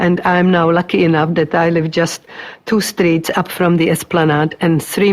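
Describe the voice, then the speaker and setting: Noticeable background noise sits behind a woman's voice. She speaks in a Czech accent with monotone, flat intonation. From Czechoslovakia. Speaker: migrant interviewee, retired teacher. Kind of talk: oral history interview. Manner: halting.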